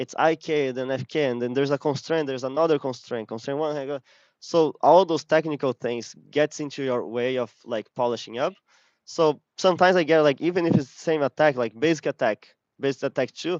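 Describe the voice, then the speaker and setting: A man talks at a fairly quick pace in a normal speaking voice, with fairly high pitch and ordinary pitch variation. The sound is dry and close with no echo, against a quiet background. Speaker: game animator giving a talk. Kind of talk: lecture.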